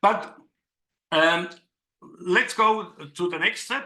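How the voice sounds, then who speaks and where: With a non-native accent, a man speaks very slowly in a high pitch with a bright, sharp tone. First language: not English. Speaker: digital artist and workshop leader. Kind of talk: online workshop presentation. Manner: halting, with fillers.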